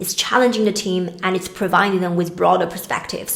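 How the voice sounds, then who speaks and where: Very fast speech from a woman with a Chinese accent, fairly low pitch, and fairly even intonation, amid noticeable background noise and audible room echo. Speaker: career coach. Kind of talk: talking-head advice video.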